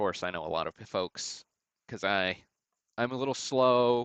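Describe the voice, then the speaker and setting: A man with a Southern US accent speaks at a fairly low pitch with ordinary pitch variation. His sound is dry and close with no echo, over a quiet background. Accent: southern drawl. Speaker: sports card breaker and livestream host. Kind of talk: live card break commentary. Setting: livestream. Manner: slow; casual, chatty.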